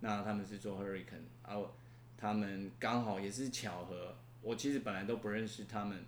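A man at a moderate pace with fairly low pitch, ordinary pitch variation, and vocal fry, plus audible room echo. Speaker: university professor. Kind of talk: interview. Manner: halting.

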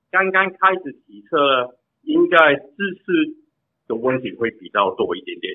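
Speaking at a fairly slow pace, a man with a high pitch moves through very wide pitch swings. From Canada. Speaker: bike fitter. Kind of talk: interview answers. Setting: phone call. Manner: halting, repeated words.

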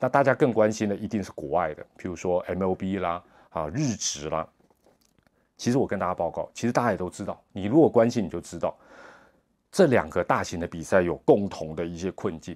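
On a very clean recording with a silent background, a man with a very deep voice talks fairly quickly with lively intonation and big swings in loudness. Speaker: sports commentator and podcast host. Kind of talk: monologue podcast commentary. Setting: hotel room. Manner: soft-spoken; hesitant with many fillers.

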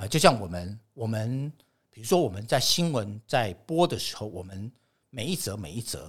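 At a moderate pace, a somewhat breathy man of medium pitch makes very wide pitch swings and big swings in loudness. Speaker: TV director and lecturer. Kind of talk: casual interview.

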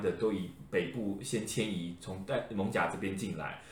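Audible room echo fills the space. The delivery has a moderate pace and ordinary pitch variation. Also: man. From Taiwan, Changhua (Lukang/Erlin area). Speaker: podcast host, folklore expert. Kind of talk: casual chat.

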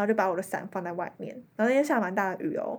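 A woman talks at a very fast pace. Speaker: exchange student. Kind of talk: casual chat.

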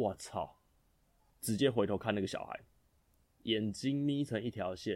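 This man's voice sits fairly low, with ordinary pitch variation and a fairly slow pace. Long pauses come often. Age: 30s. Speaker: podcast host, new father. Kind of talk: casual monologue, storytelling.

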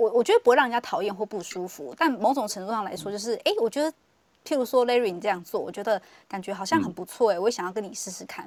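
A woman's voice comes through dry and close with no echo, on a very clean recording with a silent background. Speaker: human design analyst. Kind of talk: casual chat. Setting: live social audio room.

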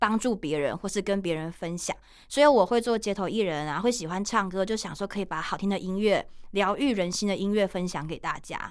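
A woman with a Taiwanese accent in a cheerful tone, fairly quick pace and ordinary pitch variation, on a very clean recording with a silent background. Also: medium pitch for a woman. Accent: Taiwanese Mandarin. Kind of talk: casual radio interview. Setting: radio studio. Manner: cheerful, lively, talkative.

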